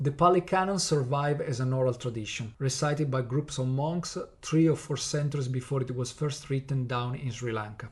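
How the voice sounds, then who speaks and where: Somewhat breathy, this voice has an Italian accent and ordinary pitch variation. The pace is fairly quick. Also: man. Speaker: podcast host teaching Buddhism. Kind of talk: lecture-style podcast narration. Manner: partly scripted with hesitations.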